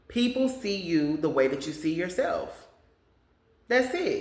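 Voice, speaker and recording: The woman's tone is animated. Room echo can be heard around her. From Kansas, US Midwest. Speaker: podcast host. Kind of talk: casual monologue. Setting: home studio, on camera.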